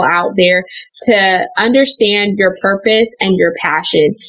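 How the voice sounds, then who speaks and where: Noticeable background noise accompanies a woman talking at a moderate speed, her pitch varying in an ordinary way. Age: 20s. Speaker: author. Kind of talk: interview.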